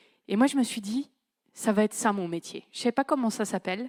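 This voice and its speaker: Recorded very cleanly against a silent background, a woman speaks at medium pitch with ordinary pitch variation and a dark, mellow tone, the sound dry and close with no echo. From northern France, Creil (Oise). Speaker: conference speaker on management. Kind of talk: conference talk. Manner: casual, conversational.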